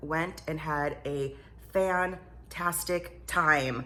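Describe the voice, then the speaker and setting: Her voice is very deep and low, with vocal fry and a bright, sharp tone, and the woman's speech carries audible room echo. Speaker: vlogger. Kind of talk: casual chat.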